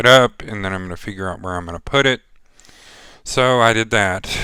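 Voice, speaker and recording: The man's pitch is fairly low. His tone is bright and sharp. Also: very clean recording, silent background. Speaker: psychic tarot reader vlogger. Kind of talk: personal vlog. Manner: monotone.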